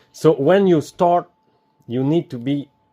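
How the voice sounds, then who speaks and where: In a French Canadian accent, a man speaks with ordinary pitch variation. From Quebec. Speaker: DIY video maker. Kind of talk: tutorial. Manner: halting.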